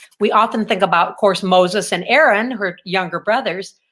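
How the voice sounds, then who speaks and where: A woman's unremarkable speaking voice, medium in pitch, at a fairly quick pace. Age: 60s. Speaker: author. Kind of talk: interview.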